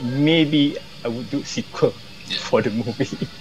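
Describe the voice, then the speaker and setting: A man with a Malaysian accent and a fairly high pitch, over light background noise. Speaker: film director; interviewee. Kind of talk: interview. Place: home room. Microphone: earbuds.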